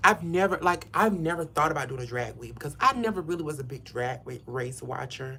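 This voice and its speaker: A man speaks very fast with a Southern US accent. His tone is animated, with ordinary pitch variation. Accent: Southern US country. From US South. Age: 50s. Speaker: hairstylist. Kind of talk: casual livestream chat while styling hair. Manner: chatty, animated.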